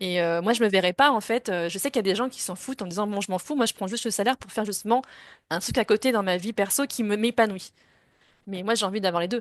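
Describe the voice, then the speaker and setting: A woman talks very fast at a medium pitch, with ordinary pitch variation and big swings in loudness. The sound is dry and close with no echo, over a quiet background. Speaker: interviewee sharing career change. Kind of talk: interview testimony.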